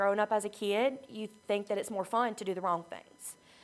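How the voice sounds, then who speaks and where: A woman speaks with a Southern US accent. Her voice is shaky. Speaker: recovery program member sharing her story. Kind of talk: testimony. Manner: shaky, emotional; halting, many fillers.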